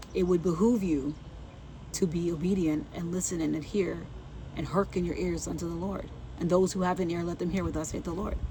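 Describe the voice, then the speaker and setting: Soft-spoken, a woman talks at a fairly quick pace with a fairly low pitch and fairly even intonation. Audible room echo and noticeable background noise fill the recording. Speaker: faith vlogger. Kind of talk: inspirational talk.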